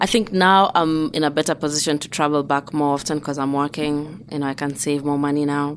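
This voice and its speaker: A woman speaks at a fairly quick pace in a very deep, low voice. The recording is very clean, with a silent background. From Kenya, Nairobi. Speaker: immigrant, IT professional. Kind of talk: interview storytelling.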